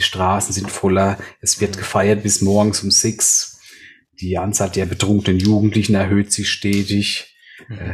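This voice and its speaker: A man's somewhat breathy, fairly low voice in a monotone, flat intonation at a moderate pace. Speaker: podcast co-host. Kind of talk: casual chat.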